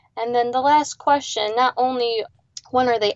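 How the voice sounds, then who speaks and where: With a Midwestern American accent, a woman speaks at a fairly high pitch with ordinary pitch variation. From Ohio, Lake Erie area. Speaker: marine biologist. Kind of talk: interview conversation.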